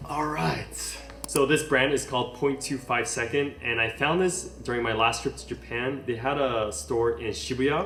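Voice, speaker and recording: Music plays in the background as a man talks with an American accent. The room echo is audible. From US West Coast, Los Angeles (Palos Verdes). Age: 30s. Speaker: fashion content creator. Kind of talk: casual Q&A vlog.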